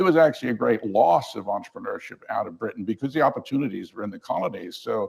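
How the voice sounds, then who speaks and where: A man rattles along at a very fast pace. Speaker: keynote speaker, management professor. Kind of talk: conference keynote lecture.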